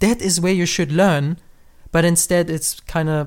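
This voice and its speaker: Spoken with a German accent, the recording is very clean with a silent background. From Germany. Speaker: podcast host. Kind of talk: casual podcast conversation.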